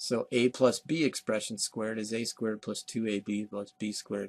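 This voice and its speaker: Recorded dry and close with no echo, a man in a normal speaking voice talks at a moderate pace and medium pitch with fairly even intonation. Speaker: math teacher. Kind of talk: recorded lecture. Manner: casual.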